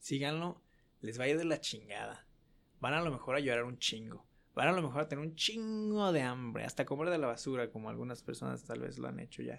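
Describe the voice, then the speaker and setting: At a fairly quick pace, a man speaks at a medium pitch with lively intonation. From Mexico, Guadalajara. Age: 20s. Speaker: student sharing personal story. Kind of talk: casual interview, storytelling.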